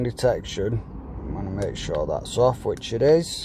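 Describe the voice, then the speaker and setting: Noticeable background noise sits behind a man speaking with a British accent. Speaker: company director. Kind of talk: product setup tutorial. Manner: casual.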